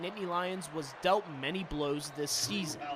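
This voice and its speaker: With music in the background, a man in an American accent speaks at a moderate pace. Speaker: TV news anchor and reporter. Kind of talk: on-location news package narration.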